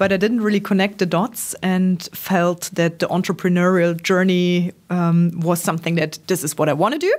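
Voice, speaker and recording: A woman's fairly low voice with fairly even intonation, very even loudness and hardly any pauses. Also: moderate pace. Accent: German. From Germany, Trier. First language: German. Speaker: startup founder. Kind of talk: interview. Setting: office. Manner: hesitant, many ums.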